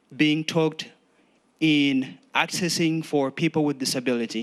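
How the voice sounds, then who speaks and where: With a non-native accent, a man talks at a fairly slow pace and fairly high pitch, his intonation fairly even, over a quiet background. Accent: foreign. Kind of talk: public testimony. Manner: halting.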